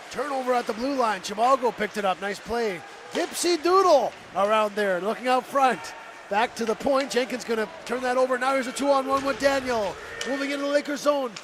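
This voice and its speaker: An extremely high-pitched man's voice at a fairly quick pace, with ordinary pitch variation and noticeable background noise. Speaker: play-by-play commentator. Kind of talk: live commentary. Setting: broadcast booth at a hockey arena. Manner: fast; animated.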